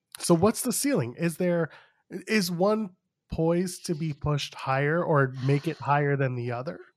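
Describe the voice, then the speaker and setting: A man with a plain, everyday voice talks at a fairly high pitch and moderate pace with lively intonation. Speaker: podcast host, wrestling commentator. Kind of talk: casual chat.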